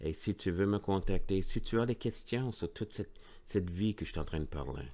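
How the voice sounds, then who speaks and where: In a very clean recording with a silent background, a man with a slight English accent speaks in a very deep, low pitch with a dark, mellow tone and ordinary pitch variation. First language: English (speaking French). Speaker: pastor. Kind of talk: sermon. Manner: informal, direct address; halting.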